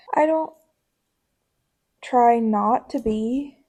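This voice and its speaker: A woman's fairly high pitch with lively intonation. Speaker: band member. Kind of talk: casual chat.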